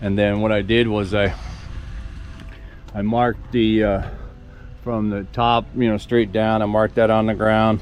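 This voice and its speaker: Speech at a fairly slow pace with monotone, flat intonation and long, frequent pauses plays over noticeable background noise. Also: man, fairly low pitch for a man. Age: 60s. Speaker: farm vlogger doing DIY construction. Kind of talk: casual vlog narration while working. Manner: halting, with many fillers and repeats.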